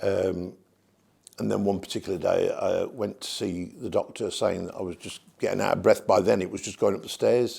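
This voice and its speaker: A man with a Birmingham accent speaks at a moderate pace. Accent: Birmingham (Brummie) English. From English Midlands, Birmingham. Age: 60s. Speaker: cancer patient. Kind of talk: testimony. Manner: halting.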